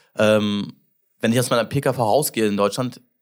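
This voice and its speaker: A man speaks at a very fast pace with fairly even intonation in a very clean recording with a silent background. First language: English (speaking German). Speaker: podcast host, entrepreneur. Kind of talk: casual interview chat. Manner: halting, many fillers.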